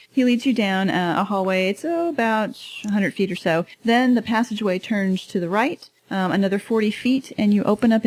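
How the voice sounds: Ordinary pitch movement in a natural reading voice.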